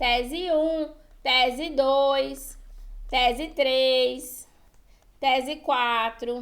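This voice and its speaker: Speech comes at a very slow pace with long, frequent pauses, fairly even intonation and audible room echo. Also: woman, high pitch for a woman. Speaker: writing teacher for exam prep. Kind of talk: online lecture.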